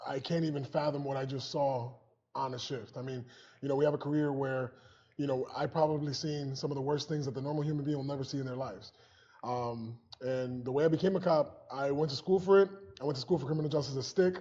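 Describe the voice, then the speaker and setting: With an American accent, a man talks at a very fast pace in a dark, mellow, somewhat breathy voice, his fairly high pitch held in fairly even intonation. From Springfield, Massachusetts, US. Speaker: police officer and comedian. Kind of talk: interview, personal story.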